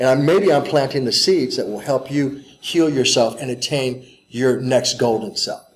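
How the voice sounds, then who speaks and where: Here a man talks in an ordinary speaking voice with an American accent. His pitch is medium, with ordinary variation, at a moderate pace. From US Midwest (St. Louis, Missouri). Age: 50s. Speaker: martial arts teacher. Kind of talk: interview. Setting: fan convention.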